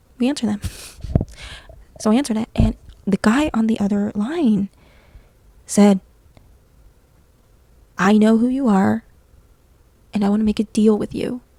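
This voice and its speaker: Soft-spoken and relaxed, a woman talks at a moderate pace in a fairly high voice with fairly even intonation. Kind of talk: scary story telling to camera. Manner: soft-spoken, relaxed, conversational.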